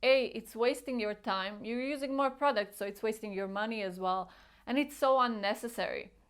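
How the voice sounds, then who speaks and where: In a very clean recording with a silent background, a woman with a non-native accent talks at a moderate pace, her fairly high pitch showing ordinary variation. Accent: foreign. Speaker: beauty vlogger. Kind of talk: casual tutorial vlog. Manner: animated.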